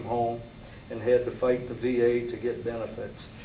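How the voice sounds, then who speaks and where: A man with an American accent talks at a moderate pace, with audible room echo and noticeable background noise. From Michigan, US Midwest. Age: 60s. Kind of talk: prepared statement / testimony. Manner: formal, read-out statement with some stumbles.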